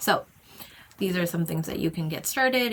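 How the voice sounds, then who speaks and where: A woman's fairly low voice carries noticeable vocal fry. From Japan (Tokyo). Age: 20s. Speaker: YouTuber, job-seeking developer. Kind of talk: screen-share tutorial vlog. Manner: casual, conversational.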